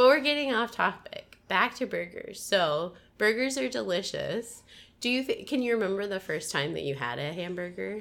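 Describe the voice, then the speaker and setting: Vocal fry and very wide pitch swings at a moderate pace, with an American accent. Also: woman, medium pitch for a woman. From US Midwest. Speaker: podcast host. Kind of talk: casual interview; scripted narration.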